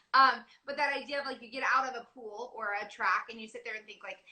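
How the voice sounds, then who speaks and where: A woman at a very fast pace with ordinary pitch variation. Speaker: interview host. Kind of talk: casual chat.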